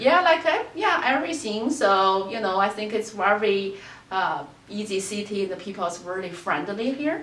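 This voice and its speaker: In a Chinese accent, a woman talks at a medium pitch and a moderate pace with very wide pitch swings, amid noticeable background noise and audible room echo. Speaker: qigong teacher. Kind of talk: interview. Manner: hesitant, many fillers.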